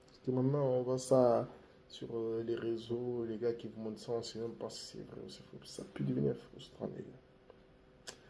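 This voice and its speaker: Over noticeable background noise and audible room echo, a man with a medium pitch and ordinary pitch variation speaks at a fairly slow pace, his loudness swinging widely. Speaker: YouTuber giving life advice. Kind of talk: casual vlog monologue. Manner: relaxed, laid-back.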